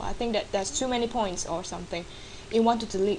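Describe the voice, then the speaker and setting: A woman speaks at a medium pitch with ordinary pitch variation and a non-native accent. There is noticeable background noise behind her. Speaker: digital artist. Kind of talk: screen-recorded software tutorial.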